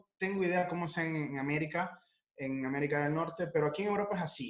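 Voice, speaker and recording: A man's high-pitched voice carries ordinary pitch variation. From Ecuador, then Italy from age 14. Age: 20s. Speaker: chef. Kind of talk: interview, casual chat.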